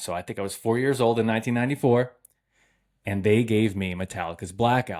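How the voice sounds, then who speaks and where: A man talks at a fairly quick pace with ordinary pitch variation on a very clean recording with a silent background. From New England, US. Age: 30s. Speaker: podcast host. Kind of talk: casual monologue.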